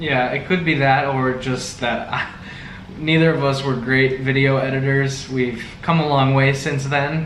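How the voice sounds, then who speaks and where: Amid noticeable background noise and audible room echo, a man with a fairly high pitch speaks at a fairly slow pace in a monotone, flat intonation. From US, the Valley. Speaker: vlogger. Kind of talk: casual chat.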